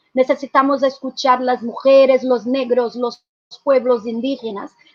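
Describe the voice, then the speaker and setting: Speaking at a fairly slow pace, a woman with a high voice talks with a Portuguese accent. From Brazil. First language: Portuguese (speaking Spanish). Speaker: activist, social movement representative. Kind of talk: conference presentation. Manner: halting, frequent self-corrections.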